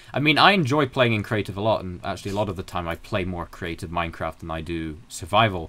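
A man with a very deep, low pitch and a bright, sharp tone, very fast with hardly any pauses, lively intonation and big swings in loudness. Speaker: YouTube creator on games and culture; YouTube creator on games. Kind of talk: casual interview chat. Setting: video call. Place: home room.

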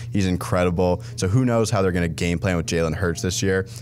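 Very fast speech with ordinary pitch variation over light background noise. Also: man. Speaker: podcast host. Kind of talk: sports commentary podcast chat. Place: studio.

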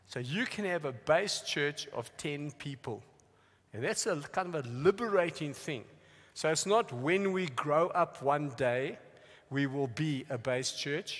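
A man speaks at a fairly slow pace, and the background is quiet. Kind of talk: teaching talk. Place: stage.

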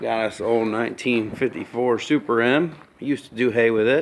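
A man talks at a fairly slow pace in a monotone, flat intonation. Light background noise can be heard. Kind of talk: casual vlog chat. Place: garage. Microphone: phone near.

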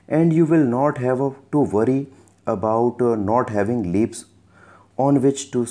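A man's dark, mellow voice at medium pitch, with ordinary pitch variation and a quiet background. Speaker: English teacher. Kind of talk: lecture. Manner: bilingual line-by-line translation.

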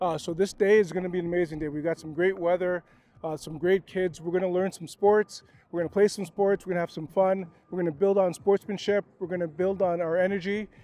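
Very fast and monotone, a man with a high pitch speaks in a dry sound with no echo. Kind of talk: interview statement to camera. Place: open country. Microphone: handheld.

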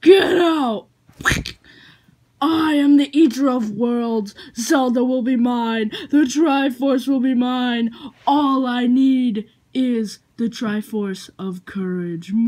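A female-sounding put-on character voice, high in pitch and delivered at a very slow pace. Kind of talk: comic stuffed-animal play. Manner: menacing, boastful.

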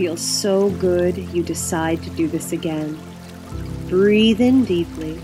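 Music plays behind a woman's voice. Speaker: meditation guide. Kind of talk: guided meditation. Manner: slow, soft-spoken.

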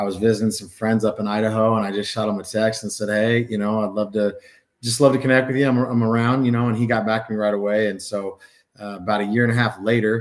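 A man with an American accent at a very fast pace, fairly low pitch, monotone, flat intonation and a quiet background. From Northern California. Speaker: basketball coach. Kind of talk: interview. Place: home room.

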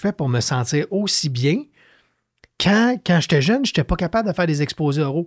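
Over a quiet background, a man speaks at a high pitch with very wide pitch swings. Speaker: entrepreneur, leadership author; podcast guest. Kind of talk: casual interview. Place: studio. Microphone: studio mic.

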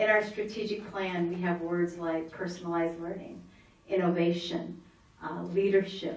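A woman talks at a moderate pace, and audible room echo surrounds her voice. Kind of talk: formal public address. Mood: warm, celebratory. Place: meeting room.

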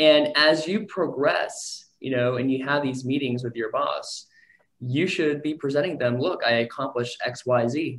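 A man speaks in a normal speaking voice with an American accent. His pitch is fairly high, his intonation fairly even, and his pace fairly slow. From Texas. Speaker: sales director. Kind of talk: motivational talk. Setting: video call. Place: office. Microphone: video call.

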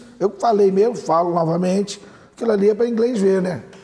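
Noticeable background noise sits behind a man's high voice. He talks at a fairly quick pace with ordinary pitch variation. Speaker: doctor and mayoral pre-candidate. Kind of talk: TV interview.

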